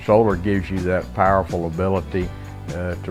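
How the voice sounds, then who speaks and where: Music plays in the background as a man speaks with a Texan accent at a moderate pace. His voice is very deep and low, with monotone, flat intonation. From South Texas. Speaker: rancher. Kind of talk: customer testimonial interview.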